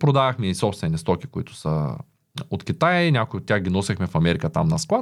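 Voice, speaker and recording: A man talks at a fairly quick pace with very wide pitch swings. The recording is very clean with a silent background. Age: 30s. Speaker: entrepreneur. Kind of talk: interview.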